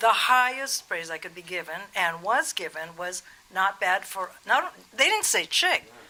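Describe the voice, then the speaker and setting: Noticeable background noise sits under this recording. A woman talks at a moderate pace, her pitch varying in an ordinary way. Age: 60s. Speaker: rock guitarist. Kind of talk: interview.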